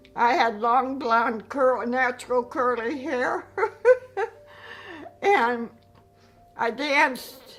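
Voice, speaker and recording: A woman with an American accent speaks very slowly at a high pitch, using lively intonation. Music plays in the background. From Chicago. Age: 80s+. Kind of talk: interview answer.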